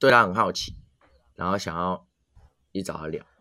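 A man speaks in a bright, sharp tone. His voice has vocal fry. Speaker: podcast co-host. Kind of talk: casual chat.

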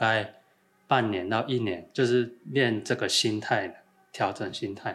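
A man has an ordinary speaking voice at a medium pitch. He talks at a fairly slow pace. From Thailand and Taiwan. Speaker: rock climbing coach. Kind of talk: casual chat.

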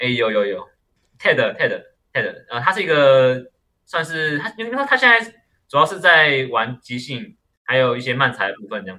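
At a moderate pace, a man with a fairly high pitch shows very wide pitch swings and big swings in loudness. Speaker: stand-up comedian. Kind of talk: casual chat. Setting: online recording. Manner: halting.

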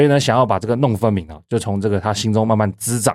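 Speaking at a very fast pace with a Taiwanese accent, a man is heard in a very clean recording with a silent background and a dry, close sound with no echo. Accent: Taiwanese Mandarin. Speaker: podcast host, legal website editor. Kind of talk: solo explanatory commentary. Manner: conversational with frequent filler particles.

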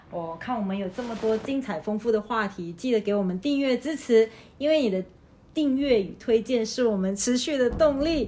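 A woman with an ordinary speaking voice talks at a moderate pace, her pitch fairly high and her intonation lively. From Malaysia. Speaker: podcast host, teacher. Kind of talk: casual chat.

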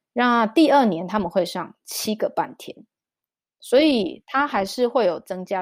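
Fairly slow speech from a woman with a Taiwanese accent and lively intonation. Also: very clean recording, silent background. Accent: Taiwanese Mandarin. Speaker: children's storyteller and mother. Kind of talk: interview conversation.

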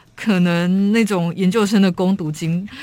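Noticeable background noise sits behind a woman's voice. She has a medium pitch and fairly even intonation. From Taiwan, Kaohsiung. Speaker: writer. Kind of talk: interview; reading aloud. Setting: studio.

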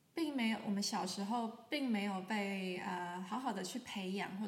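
In a Taiwanese accent, a woman talks at a fairly slow pace with a calm tone and fairly even intonation amid audible room echo. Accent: Taiwanese Mandarin. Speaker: sound healer, podcast host. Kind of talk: solo podcast talk. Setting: sitting in sunlight, filmed for video. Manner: calm, with frequent fillers.

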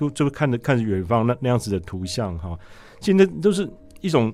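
A man's medium-pitched, dark, mellow voice at a very fast pace. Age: 50s. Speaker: news photographer. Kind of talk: interview.

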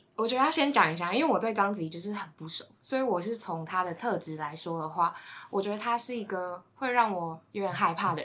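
Over noticeable background noise, a woman talks with lively intonation at a medium pitch and a fairly quick pace. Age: 20s. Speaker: podcast team member, social media. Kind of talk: casual chat.

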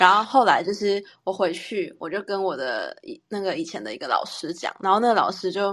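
A woman talks at a moderate pace with a medium pitch. She has a normal speaking voice. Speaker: podcast co-host, teacher. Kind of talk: casual chat.

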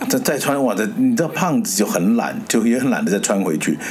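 Noticeable background noise behind a man's fairly quick pace. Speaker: podcast host. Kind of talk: casual chat.

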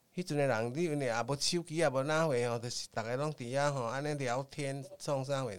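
Fairly even intonation marks this very fast speech in a Taiwanese accent. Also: man, fairly high pitch for a man. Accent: Taiwanese Hokkien-accented Mandarin. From Taiwan, Tainan. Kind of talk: storytelling interview.

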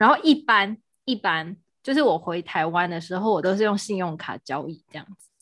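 Over a quiet background, a woman at a medium pitch speaks at a moderate pace, with lively intonation and big swings in loudness. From Taiwan. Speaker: podcast co-host, salesperson. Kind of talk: casual chat. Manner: animated, frequent laughter.

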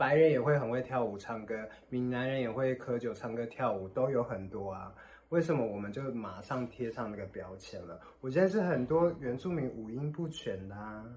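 A man speaks in a plain, everyday voice at a medium pitch and moderate pace. His pitch variation is ordinary, with big swings in loudness. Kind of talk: casual chat.

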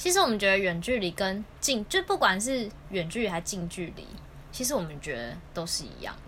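A woman talks at a fairly quick pace and medium pitch with lively intonation. Her loudness swings widely. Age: late 20s. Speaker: podcast co-host. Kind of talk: casual chat. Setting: home recording.

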